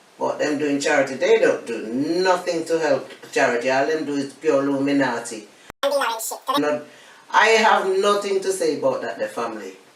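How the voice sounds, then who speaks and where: Over noticeable background noise, a woman with a Jamaican accent speaks at a moderate pace in a very deep, low voice that swings very widely in pitch. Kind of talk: interview answer. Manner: blunt, outspoken, humorous.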